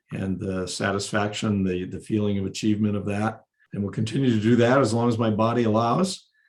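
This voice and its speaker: An unremarkable speaking voice from a man, fairly low in pitch, fairly quick, with fairly even intonation. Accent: American. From US Midwest (South Dakota). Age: 50s. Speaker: financial planner. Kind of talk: podcast interview.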